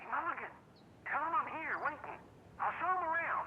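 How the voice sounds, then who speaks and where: Over clear background noise, a put-on character voice at an extremely high pitch moves at a moderate pace. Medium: video game. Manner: loud, blunt.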